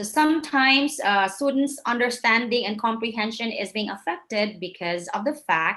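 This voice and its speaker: Lively intonation marks a woman's fairly high-pitched voice in a Visayan Filipino accent. She speaks at a moderate pace. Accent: Filipino (Cebuano) English. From Philippines, Cebu. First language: Cebuano. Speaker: English teacher and trainer. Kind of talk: lecture.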